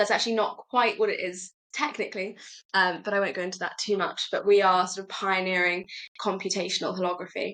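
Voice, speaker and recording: In a British accent, a woman speaks at a fairly quick pace and medium pitch, with fairly even intonation and a bright, sharp tone. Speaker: startup executive. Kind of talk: podcast interview.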